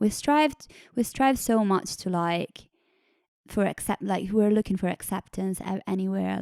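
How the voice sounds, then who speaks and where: In an Italian accent, a woman with medium pitch and a dark, mellow tone speaks at a moderate pace, the recording very clean with a silent background and a dry, close sound with no echo. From northern Italy. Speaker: singer-songwriter. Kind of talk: interview conversation.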